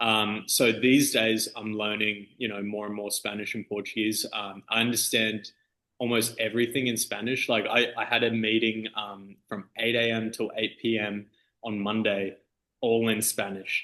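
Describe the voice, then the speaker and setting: A man with an Australian accent speaks at a medium pitch and moderate pace, his bright, sharp tone delivered in a monotone, flat intonation. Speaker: DJ and music producer. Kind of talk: interview. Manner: casual, halting with fillers.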